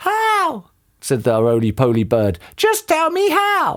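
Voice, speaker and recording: A squeaky, put-on character voice at a fairly slow pace. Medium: read story.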